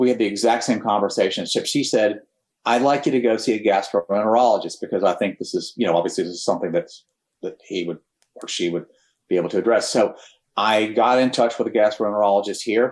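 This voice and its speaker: Fast and very quick, the speech carries a slight Texan accent and fairly even intonation in a very clean recording with a silent background. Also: man, medium pitch for a man. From Texas. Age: 60s. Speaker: cancer survivor, former air force pilot. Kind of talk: personal testimony in podcast interview. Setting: podcast studio.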